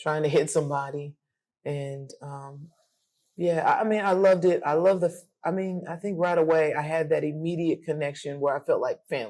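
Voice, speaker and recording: On a very clean recording with a silent background, a woman with an American accent speaks very deep and low, dark and mellow in tone, at a moderate pace with ordinary pitch variation. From Colorado, US (Denver). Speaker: amateur boxer. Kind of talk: interview conversation.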